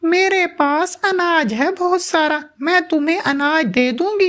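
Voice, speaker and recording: This cartoonish character voice is extremely high-pitched and moves at a fairly slow pace. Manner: greedy, impatient.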